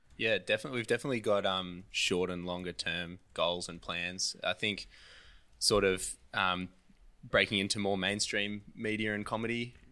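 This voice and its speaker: Speaking with an Australian accent at a moderate pace, a man uses a fairly low pitch and fairly even intonation on a very clean recording with a silent background. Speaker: comedian. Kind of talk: casual podcast interview.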